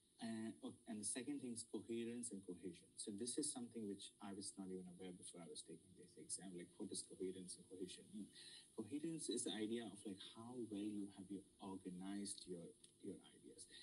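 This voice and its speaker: Talking at a fairly quick pace, a man with an Indian accent shows ordinary pitch variation. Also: fairly low pitch for a man. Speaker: student mentor. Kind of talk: lecture. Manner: halting.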